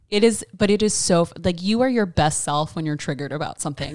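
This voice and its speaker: With an American accent, a woman uses an ordinary speaking voice at a fairly low pitch, with lively intonation. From US South, North Carolina (Raleigh). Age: 30s. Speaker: podcast guest, host's best friend. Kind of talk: casual chat.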